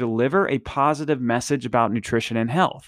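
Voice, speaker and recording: On a very clean recording with a silent background, a man talks at a moderate pace. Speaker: fitness podcast host. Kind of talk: solo podcast monologue. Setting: studio. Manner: casual, rambling.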